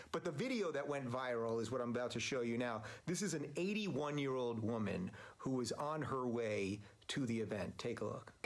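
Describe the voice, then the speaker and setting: Using an unremarkable speaking voice, a man talks at a fairly quick pace with a medium pitch and lively intonation. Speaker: talk show host. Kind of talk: casual talk to camera.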